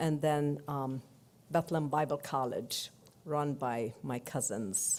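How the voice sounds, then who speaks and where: A woman with a Palestinian accent speaks fairly slowly in a very deep, low pitch and a dark, mellow tone. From Palestine, Jerusalem. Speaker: church delegate. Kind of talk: speech.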